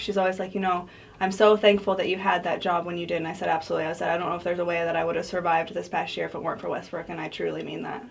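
Over noticeable background noise, a woman with an American accent talks at a very fast pace with hardly any pauses, her fairly low voice flat and monotone. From Colorado. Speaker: beauty pageant winner and health agency staff member. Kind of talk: casual interview.

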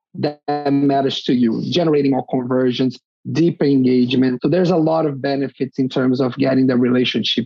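A man's medium-pitched voice at a fairly quick pace, with ordinary pitch variation, very even loudness, hardly any pauses and music in the background. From Brazil. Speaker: design director. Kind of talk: interview. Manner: halting.

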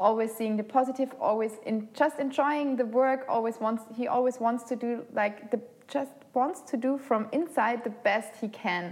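With a German accent, a woman speaks at a moderate pace, her pitch fairly high with ordinary variation. Noticeable background noise is present. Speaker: podcast host. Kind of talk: casual chat.

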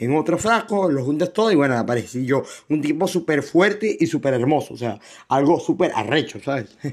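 A man with a Venezuelan accent speaks at a fairly quick pace, his pitch fairly high. His intonation is lively, and the recording is very clean with a silent background. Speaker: podcast host. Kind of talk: casual monologue. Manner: halting, many fillers and repetitions.

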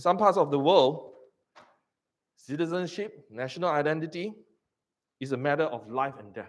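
Using a Singaporean accent, a man speaks at a moderate pace with long, frequent pauses and big swings in loudness. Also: fairly high pitch for a man, ordinary pitch variation. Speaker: pastor. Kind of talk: sermon.

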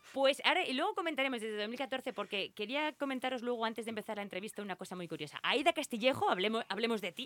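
Delivered at a very fast pace with hardly any pauses, the speech has lively intonation and a dry, close sound with no echo, over noticeable background noise. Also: woman, fairly high pitch for a woman. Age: 40s. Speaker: radio host. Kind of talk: casual radio chat. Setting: studio.

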